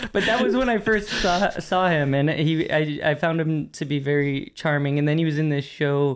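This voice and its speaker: This man has an American accent, a high pitch for a man, and talks at a moderate pace. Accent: specific hard-to-place. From US, Pittsburgh. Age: 40s. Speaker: artist and curator. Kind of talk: casual interview chat.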